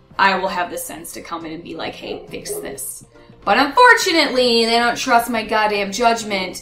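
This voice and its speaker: Over music in the background, a woman talks at a fairly quick pace, her high pitch making very wide swings. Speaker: gaming YouTuber. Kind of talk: casual vlog chat. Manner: fast.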